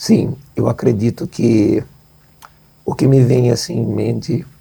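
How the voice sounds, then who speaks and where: A man's dark, mellow voice with vocal fry, ordinary pitch variation and a very slow pace. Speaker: charity representative. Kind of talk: interview.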